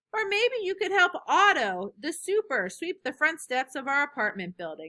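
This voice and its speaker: A woman does a put-on character voice at a high pitch with very wide pitch swings. Her moderate pace comes through in a dry, close sound with no echo. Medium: read story. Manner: calm, practical.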